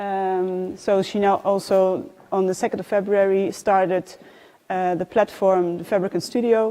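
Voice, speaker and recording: A woman's medium-pitched voice, dark and mellow in tone, with a flat, monotone delivery and a Dutch accent. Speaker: design awards programme manager. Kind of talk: presentation. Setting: live event with audience. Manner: halting, many fillers.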